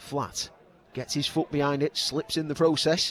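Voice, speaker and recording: An excited man with a fairly high pitch and a fairly quick pace, over noticeable background noise. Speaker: football commentator. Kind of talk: live football commentary. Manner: rapid, excited, fast play-by-play; gets dramatic at key moments.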